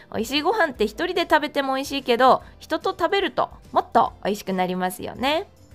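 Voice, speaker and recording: Over music in the background, a woman talks at a high pitch with very wide pitch swings. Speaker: freelance announcer. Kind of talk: food vlog narration.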